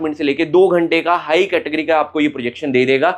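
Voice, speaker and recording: With fairly even intonation, a man talks at a moderate pace and a fairly high pitch. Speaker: perfume reviewer. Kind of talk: product review monologue. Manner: casual, conversational.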